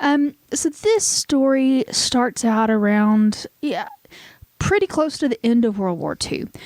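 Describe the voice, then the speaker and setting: A woman with a Southern US accent, high-pitched, with very wide pitch swings and a very slow pace. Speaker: podcast host. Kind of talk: casual storytelling chat. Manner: hesitant, many fillers.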